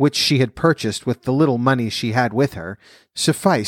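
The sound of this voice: A text comes through in an unforced reading voice. The pitch moves up and down in an ordinary way.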